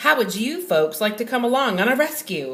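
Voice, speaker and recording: A woman uses a put-on character voice at a fairly high pitch. Her pitch swings very widely as she talks at a moderate pace. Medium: read story. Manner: loud, hearty.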